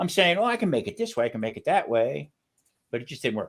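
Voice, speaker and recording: The recording is very clean, with a silent background. A man speaks with an American accent, his pitch swinging very widely. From US East Coast. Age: 60s. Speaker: retired chef, cooking YouTuber. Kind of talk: interview on a livestream. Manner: casual, conversational.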